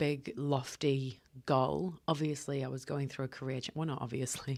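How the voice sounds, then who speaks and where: On a very clean recording with a silent background, a woman with a New Zealand accent and a very deep, low pitch talks at a moderate pace with fairly even intonation. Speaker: podcast host. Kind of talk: solo podcast monologue. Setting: hotel room.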